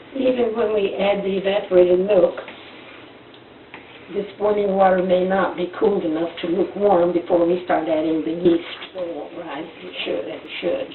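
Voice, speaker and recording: Speaking at a moderate pace with medium pitch, a woman keeps fairly even intonation while her loudness swings widely over noticeable background noise. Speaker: grandmother home baker. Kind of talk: home cooking demonstration.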